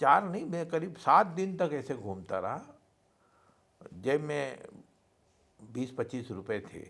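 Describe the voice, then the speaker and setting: A man's fairly high voice with very wide pitch swings, big swings in loudness, vocal fry and long, frequent pauses. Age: 70s. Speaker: entrepreneur. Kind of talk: podcast interview, life story.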